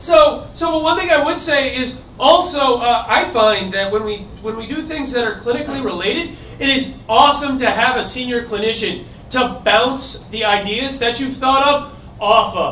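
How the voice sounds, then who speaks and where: In an American accent, a man uses a raised, projected voice at an extremely high pitch, with ordinary pitch variation and a moderate pace. Audible room echo and noticeable background noise surround him. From US East Coast. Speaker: hackathon organizer, bioinformatician. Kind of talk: conference talk.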